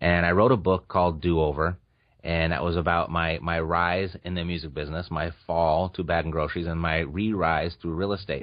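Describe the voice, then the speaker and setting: A man with an American accent, very deep and low in pitch, fairly quick in pace and fairly even in intonation. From Orange County, California. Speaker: real estate investor and podcaster. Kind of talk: interview. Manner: halting.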